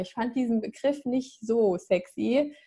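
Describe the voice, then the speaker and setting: Her tone dark and mellow, a woman talks fairly slowly at a fairly high pitch with lively intonation. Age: 20s. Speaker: happiness coach. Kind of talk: interview.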